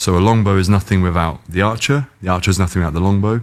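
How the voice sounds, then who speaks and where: The speaker is a man with a British accent. His pitch is very deep and low. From England. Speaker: sports car company founder. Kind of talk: casual chat. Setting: in California, car unveiling event.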